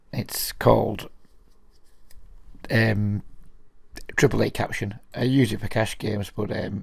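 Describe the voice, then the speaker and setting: With vocal fry and a fairly low pitch, a man speaks at a fairly slow pace in a monotone, flat way, leaving long, frequent pauses. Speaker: online poker player and video commentator. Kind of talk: live gameplay commentary. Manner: casual, hesitant with fillers.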